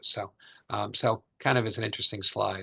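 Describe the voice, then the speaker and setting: A man's bright, sharp voice with an American accent, set against a quiet background. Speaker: financial advisor. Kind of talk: webinar presentation. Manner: fast; filler-heavy, halting.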